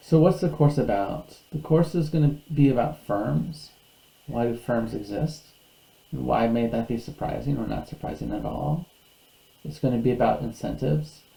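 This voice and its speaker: A man's normal speaking voice at medium pitch and moderate pace, with lively intonation. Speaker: university lecturer. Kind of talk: recorded lecture. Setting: online video lecture.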